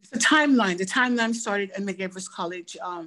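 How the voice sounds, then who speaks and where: The woman talks at a moderate pace. She has an American accent. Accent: Belizean Garifuna-tinged English. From Belize, Dangriga; US from age 14. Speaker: professor. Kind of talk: interview.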